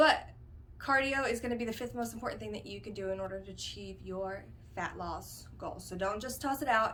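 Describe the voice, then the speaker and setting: A woman talks at a fairly quick pace. Her voice carries audible room echo. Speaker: fitness vlogger. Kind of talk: casual talk to camera. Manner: fast; hesitant, many fillers.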